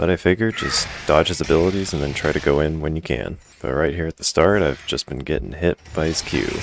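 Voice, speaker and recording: Noticeable background noise is heard throughout. The words move fairly quickly, with normal pitch movement. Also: man, very deep, low pitch for a man, hardly any pauses. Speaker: gaming commentator. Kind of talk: gameplay commentary.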